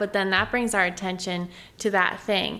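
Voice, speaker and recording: In an American accent, a woman speaks with a bright, sharp tone and fairly even intonation. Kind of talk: casual faith-based chat.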